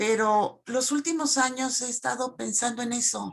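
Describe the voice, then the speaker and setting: Ordinary pitch variation at a fairly slow pace. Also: woman. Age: 60s. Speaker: teacher. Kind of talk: Q&A comment in online talk. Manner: halting.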